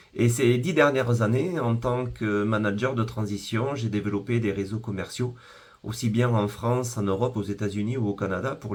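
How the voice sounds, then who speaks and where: There's vocal fry in this man's medium-pitched voice as he speaks at a moderate pace with ordinary pitch variation. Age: 50s. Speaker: business founder. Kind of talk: sales pitch. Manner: formal.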